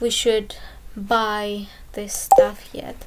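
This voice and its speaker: Very slow speech in a non-native accent, with audible room echo. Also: woman. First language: not English. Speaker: gaming youtuber. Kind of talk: game tutorial walkthrough. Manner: halting, many fillers.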